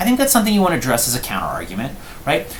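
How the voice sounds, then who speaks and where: A man's pitch swings very widely as he talks, with audible room echo and noticeable background noise around him. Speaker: law professor. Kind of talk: lecture. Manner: fast.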